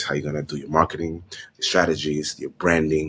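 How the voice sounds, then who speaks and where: A man speaks at a very fast pace with vocal fry. His pitch is very deep and low. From Honduras, Garifuna community. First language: Spanish. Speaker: fashion designer and entrepreneur. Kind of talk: interview. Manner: animated.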